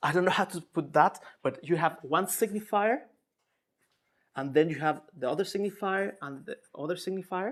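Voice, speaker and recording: A man's high voice in a Spanish accent, broken by long, frequent pauses, on a very clean recording with a silent background. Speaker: psychoanalyst lecturer. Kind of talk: lecture. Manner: halting, many repetitions and fillers.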